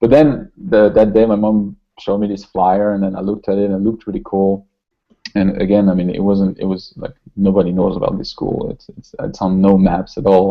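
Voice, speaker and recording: A man speaks with a French accent at fairly low pitch. His pace is fairly quick and his intonation fairly even. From southern France, Toulouse. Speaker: concept artist. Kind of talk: interview. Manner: halting, many repetitions.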